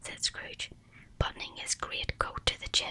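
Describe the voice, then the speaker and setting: The speaker is whispering. Noticeable background noise runs under the voice. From Northern Ireland. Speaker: ASMR artist. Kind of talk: audiobook reading. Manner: whispered.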